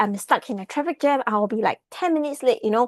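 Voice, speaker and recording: A woman with a high pitch speaks at a very fast pace with lively intonation. The sound is dry and close with no echo, over a quiet background. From Singapore. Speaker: team leader. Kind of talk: testimony. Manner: soft-spoken.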